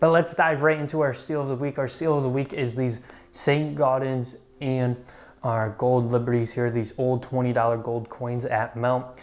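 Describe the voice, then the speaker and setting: At a moderate pace, a man with an unremarkable speaking voice talks at a medium pitch. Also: fairly even intonation. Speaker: coin shop employee presenting market updates. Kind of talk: market update video. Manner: casual with filler words.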